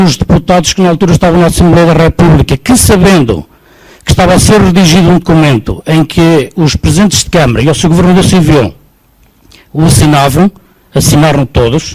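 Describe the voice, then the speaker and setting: Using a normal speaking voice, a man talks at a moderate pace in a fairly high pitch with ordinary pitch variation. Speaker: audience member at public debate. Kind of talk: public debate question.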